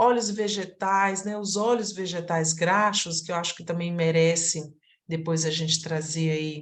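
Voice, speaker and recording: Her pitch medium and its variation ordinary, a woman talks at a fairly slow pace amid audible room echo. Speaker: aromatherapy teacher. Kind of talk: online lecture.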